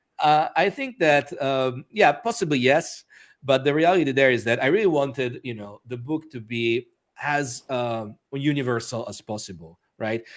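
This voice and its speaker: This man's voice sits at a medium pitch with lively intonation. His loudness swings widely. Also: moderate pace. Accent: Italian. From Italy, Rome. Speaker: author and magician. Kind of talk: interview. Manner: hesitant, many fillers.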